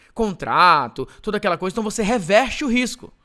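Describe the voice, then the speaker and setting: This man uses a raised, projected voice with a high pitch and a bright, sharp tone. His delivery is animated and his pace moderate. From Brazil, Ceará. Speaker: digital marketing entrepreneur and course seller. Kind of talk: live webinar sales pitch. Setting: online live stream.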